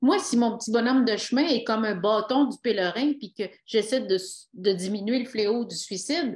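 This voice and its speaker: A woman talks at a moderate pace with an ordinary amount of pitch variation. Her fairly high voice comes with a Quebec accent. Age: 60s. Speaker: retired police officer and author. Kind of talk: interview.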